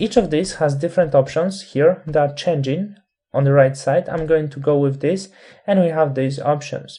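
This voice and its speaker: A non-native accent at a moderate pace. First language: not English. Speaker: Photoshop instructor. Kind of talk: tutorial.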